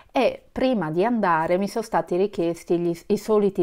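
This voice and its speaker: A woman with a fairly low voice and ordinary pitch variation speaks against a quiet background. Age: 50s. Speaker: vlogger. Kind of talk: casual vlog talk to camera. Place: home room. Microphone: phone near.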